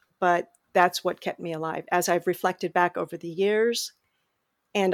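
A voice with vocal fry talks at a moderate pace on a very clean recording with a silent background and a dry, close sound with no echo. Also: woman. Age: 50s. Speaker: HIV advocate and memoir author. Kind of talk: interview testimony.

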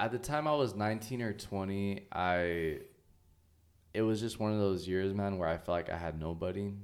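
A man with an American accent, moderate pace and ordinary pitch variation. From US West Coast (Oxnard, California). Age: 20s. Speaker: children's author and illustrator. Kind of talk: casual interview chat.

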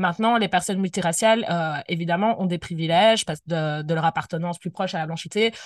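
Very fast and with hardly any pauses, a woman talks at a fairly low pitch with fairly even intonation in a dry, close sound with no echo. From Belgium, Brussels. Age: 20s. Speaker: anti-racism activist. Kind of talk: interview. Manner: hesitant, many fillers.

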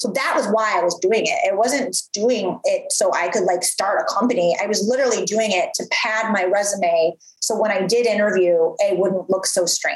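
With an American accent, a woman talks at a moderate pace and medium pitch, her loudness very even, her pitch variation ordinary and hardly any pauses, over noticeable background noise. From US Midwest. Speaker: entrepreneur, former TV presenter. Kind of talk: interview, casual chat.

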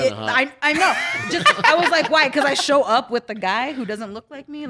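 A woman with a high pitch uses a raised, projected voice with lively intonation and big swings in loudness. Noticeable background noise is present. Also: moderate pace. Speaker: podcast co-host.

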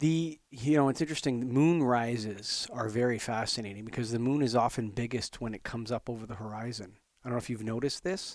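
Speaking at a very fast pace, a man leaves hardly any pauses. His pitch is medium, with ordinary variation. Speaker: podcast host. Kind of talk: casual interview chat.

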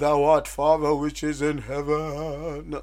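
A man's put-on character voice, fairly high in pitch and fairly slow in pace. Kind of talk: archaic, formal prayer. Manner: affected, pious.

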